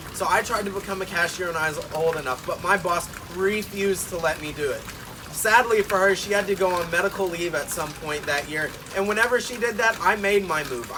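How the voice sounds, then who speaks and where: Over noticeable background noise, a man with an American accent projects a raised, high-pitched voice at a fairly quick pace, his pitch varying in an ordinary way. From Arkansas. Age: young. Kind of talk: audition tape talk to camera. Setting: outdoors. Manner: loud.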